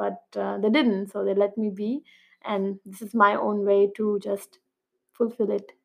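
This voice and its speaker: With an Indian accent, a woman speaks at a medium pitch and a fairly slow pace, her intonation monotone and flat while her loudness swings widely. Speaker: PhD student and research scientist. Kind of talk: podcast interview.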